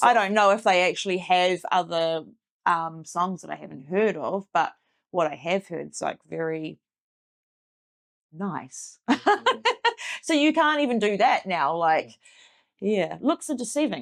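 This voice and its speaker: On a very clean recording with a silent background, a woman with a New Zealand accent speaks at a medium pitch and a fairly slow pace, with lively intonation, big swings in loudness and long, frequent pauses. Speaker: heavy metal vocalist and tattoo artist. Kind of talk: interview answer. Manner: casual.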